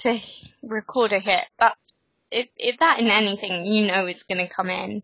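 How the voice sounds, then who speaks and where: A woman with vocal fry speaks at a fairly high pitch. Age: 20s. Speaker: podcast co-host, betting editor. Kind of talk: casual chat. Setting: Skype call.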